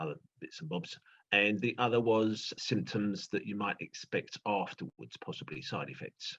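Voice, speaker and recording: The speaker has a British accent. The sound is dry and close, with no echo. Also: man, moderate pace. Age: 60s. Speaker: retired teacher, interviewee. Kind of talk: interview. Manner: halting.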